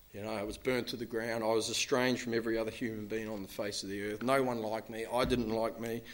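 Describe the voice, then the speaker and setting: This man talks at a very fast pace. He speaks with a New Zealand accent. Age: 40s. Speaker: recovering alcoholic speaker. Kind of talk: recovery talk to an audience. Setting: stage with audience. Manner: casual, filler-heavy.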